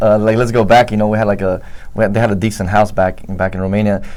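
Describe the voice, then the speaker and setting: Over noticeable background noise, a man talks very fast at a fairly low pitch with fairly even intonation. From Romania, raised in Chicago and Vancouver, Washington. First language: Romanian. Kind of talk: interview answer, personal testimony. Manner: hesitant, conversational.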